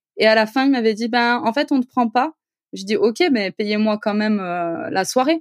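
At a moderate pace, a woman with an ordinary speaking voice talks at a fairly high pitch with ordinary pitch variation, the sound dry and close with no echo. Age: 30s. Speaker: architect and property investor. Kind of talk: casual interview.

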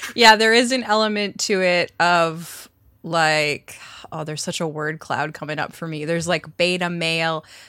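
A woman's bright, sharp tone at fairly low pitch, moderate pace, ordinary pitch variation and big swings in loudness, on a very clean recording with a silent background. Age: 30s. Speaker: sex journalist and podcast cohost. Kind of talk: casual chat.

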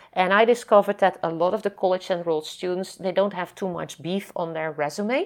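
Speaking with a Dutch accent, a woman uses a medium pitch and ordinary pitch variation. She goes at a fairly quick pace with hardly any pauses. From Netherlands. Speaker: nonprofit founder and scientist. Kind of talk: interview. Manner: halting.

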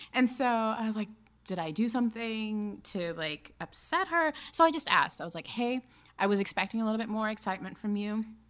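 A woman's normal speaking voice with an American accent, fairly high in pitch, fairly quick, with lively intonation, on a very clean recording with a silent background. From Alabama and Kansas, US. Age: 30s. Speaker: cosmetics company co-founder, marketing executive. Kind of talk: casual chat.

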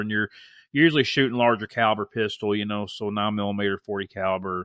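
With an American accent, a man talks at a fairly quick pace and medium pitch, an ordinary speaking voice with fairly even intonation. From US South. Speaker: podcast host and school teacher. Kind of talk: casual chat.

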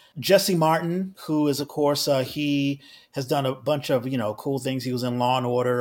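This is an ordinary speaking voice at a moderate pace, with ordinary pitch variation. The recording is very clean, with a silent background. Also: man. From Washington D.C. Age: 50s. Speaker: actor and playwright. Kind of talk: interview.

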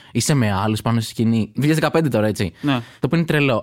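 A man with an unremarkable speaking voice talks at a medium pitch and a moderate pace. His intonation is lively, and the recording is very clean with a silent background. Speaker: stand-up comedian. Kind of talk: casual interview chat.

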